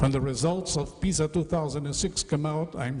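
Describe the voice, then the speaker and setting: Noticeable background noise sits behind a man's voice. He keeps a moderate pace and fairly even intonation. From Brazil. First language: Portuguese. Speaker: education speaker. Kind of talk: conference lecture.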